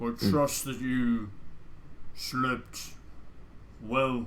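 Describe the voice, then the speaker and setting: A man uses a put-on character voice at a medium pitch over clear background noise. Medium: actual play.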